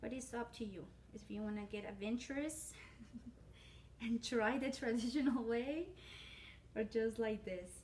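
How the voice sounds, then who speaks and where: A woman with a Spanish accent at a moderate pace. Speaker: cooking channel host. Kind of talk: cooking tutorial. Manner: casual, hesitant with fillers.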